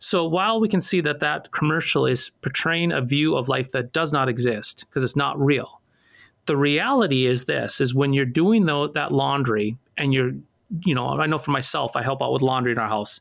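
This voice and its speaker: Speaking in a normal speaking voice, a man talks at a moderate pace with fairly high pitch and ordinary pitch variation. His loudness stays very even on a very clean recording with a silent background. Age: 40s. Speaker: pastor. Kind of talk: casual chat.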